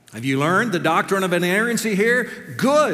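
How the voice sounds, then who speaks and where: A man's voice against noticeable background noise. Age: 60s. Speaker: seminary professor preaching. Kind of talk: sermon. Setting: chapel with audience.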